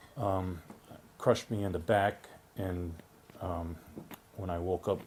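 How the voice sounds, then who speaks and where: With a very deep, low pitch, a man speaks in a somewhat breathy voice and a monotone, flat intonation. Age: 60s. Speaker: patient giving testimony. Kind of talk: testimony. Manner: halting, with many fillers.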